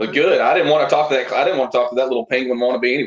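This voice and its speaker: A man with a Southern US accent, medium pitch and fairly even intonation. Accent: southern drawl. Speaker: backyard wrestler. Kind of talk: casual chat with wrestling trash talk.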